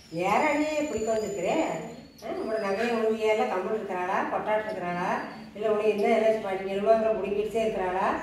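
Strong room echo and light background noise surround a woman with a fairly high pitch and ordinary pitch variation. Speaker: grandmother in a comedy skit. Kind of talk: comedy skit dialogue. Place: home room. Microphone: camera far.

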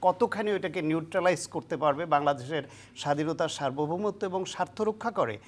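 A woman speaks with a fairly low pitch and lively intonation. The recording is very clean, with a silent background. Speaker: political analyst. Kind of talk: interview. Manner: halting.

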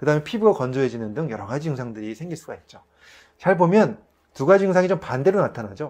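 Over a quiet background, a man talks at a very fast pace with a fairly high pitch, very wide pitch swings and big swings in loudness. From South Korea. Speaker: family physician and health educator; health educator. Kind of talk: health lecture to camera. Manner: polite, explanatory. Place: studio.

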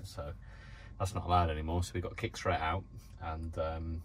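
Over light background noise, a man with a very deep, low pitch and a somewhat breathy voice speaks at a fairly quick pace. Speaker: van life vlogger. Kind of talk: casual vlog chat. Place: car. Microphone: phone near.

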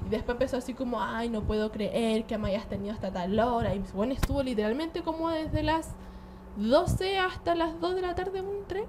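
A woman's high voice makes very wide pitch swings at a moderate pace. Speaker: podcast co-host, social media influencer. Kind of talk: casual chat.

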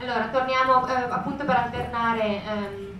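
Light background noise runs through the clip. Audible room echo is also present. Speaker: literary translator. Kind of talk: lecture talk to audience. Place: hall.

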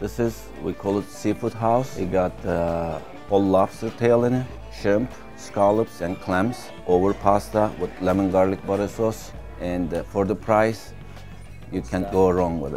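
With clear music in the background, a man with a very deep, low pitch speaks at a fairly slow pace with ordinary pitch variation. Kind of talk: interview answer. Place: cafe. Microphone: lapel.

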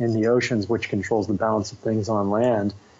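Noticeable background noise sits behind a man with an American accent whose medium-pitched voice stays monotone, with flat intonation. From United States. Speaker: ocean conservation activist. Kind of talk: interview. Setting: video call. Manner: casual.

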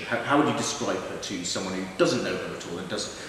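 Very fast speech in strong room echo, with light background noise. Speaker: theatre director. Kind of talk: interview talk. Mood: warm and amused. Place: empty room.

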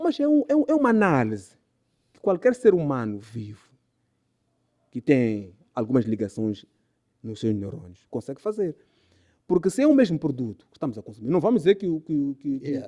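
Against a quiet background, a man with a dark, mellow tone speaks at a moderate pace, his pitch swinging very widely and his loudness shifting greatly, with long, frequent pauses. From Mozambique. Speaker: DJ and music producer; DJ. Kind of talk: casual interview chat. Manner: repetitive stammering. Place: studio. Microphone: studio mic.

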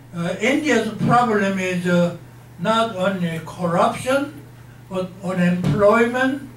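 Over light background noise and audible room echo, the voice moves at a very slow pace with ordinary pitch variation. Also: man. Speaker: interviewee. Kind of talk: interview answer. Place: meeting room.

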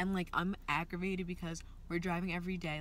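A woman's fairly low voice at a fairly quick pace, dry with no echo, over light background noise. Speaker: vlogger. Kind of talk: casual vlog chat. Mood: annoyed, venting. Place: car. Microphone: phone near.

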